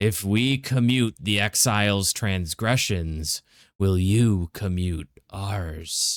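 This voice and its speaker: In a put-on character voice, a man speaks very slowly at a fairly low pitch, on a very clean recording with a silent background and a dry, close sound with no echo. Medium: read story. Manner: formal, stately, measured.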